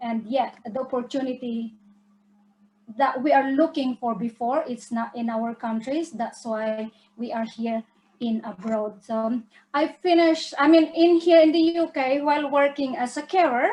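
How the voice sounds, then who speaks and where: The speaker, with a Filipino accent, keeps a moderate pace. Pitch variation is ordinary. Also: woman, high pitch for a woman. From Philippines. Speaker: business presenter. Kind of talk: online webinar presentation.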